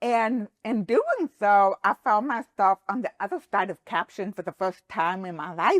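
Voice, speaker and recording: A woman's medium-pitched voice with an American accent, fairly slow and lively in intonation, with big swings in loudness, recorded dry and close with no echo against a quiet background. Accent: deaf. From Texas. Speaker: accessibility advocate and business founder. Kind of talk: podcast interview. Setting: studio.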